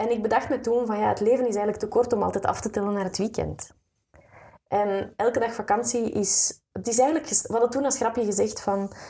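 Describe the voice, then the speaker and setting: A fairly high-pitched woman's voice, dark and mellow, with fairly even intonation at a fairly quick pace. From Flanders, Belgium. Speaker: writer and coach, former radio announcer. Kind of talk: interview.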